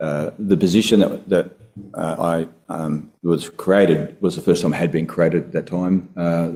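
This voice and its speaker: In an Australian accent, a man speaks with a very deep, low pitch and a dark, mellow tone. His intonation is monotone and flat. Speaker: former council director and former state politician. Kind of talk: testimony at public inquiry. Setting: courtroom hearing. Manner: halting, many fillers; quiet.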